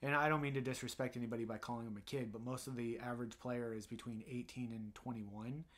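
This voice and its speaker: Hardly pausing, a man rattles along at a very fast pace in a monotone, flat intonation. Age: 30s. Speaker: podcast co-host. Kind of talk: casual chat. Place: home room. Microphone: studio mic.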